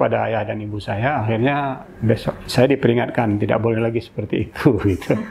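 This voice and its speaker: Noticeable background noise sits behind a man's medium-pitched voice. He talks fairly quickly with fairly even intonation. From Indonesia, Aceh Singkil. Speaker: senior journalist. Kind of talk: interview, life story.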